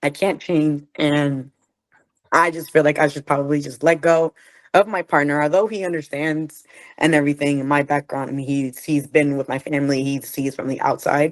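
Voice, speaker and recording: Over a quiet background, the speaker talks at a moderate pace with fairly even intonation. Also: woman. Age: 20s. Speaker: participant. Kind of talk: personal testimony.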